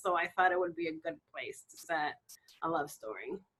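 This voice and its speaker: Moderate-paced speech with a Spanish accent. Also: woman. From Dominican Republic. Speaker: romance novelist. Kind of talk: interview.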